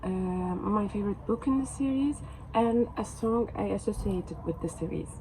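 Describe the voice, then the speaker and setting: A woman with a Turkish accent, over noticeable background noise. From Turkey. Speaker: book vlogger. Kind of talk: casual vlog talk to camera. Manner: halting, many fillers.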